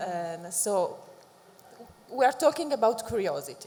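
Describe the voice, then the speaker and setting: A woman speaks at a moderate pace with an Italian accent over noticeable background noise. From Italy. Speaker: academic, think tank director. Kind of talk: panel discussion.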